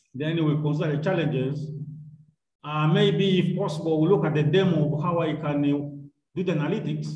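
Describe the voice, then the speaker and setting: Somewhat breathy and fairly high in pitch, a man speaks at a moderate pace with fairly even intonation and audible room echo. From Uganda. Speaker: university lecturer. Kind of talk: online lecture. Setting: video call. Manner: formal. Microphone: video call.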